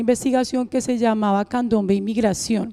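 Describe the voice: A woman with a Colombian accent talks fast at a fairly high pitch, her tone dark and mellow and her intonation fairly even.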